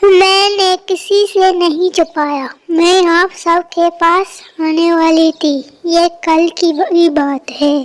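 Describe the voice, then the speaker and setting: A female-sounding cartoonish character voice speaks at a very slow pace with an extremely high pitch. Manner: earnest, worried.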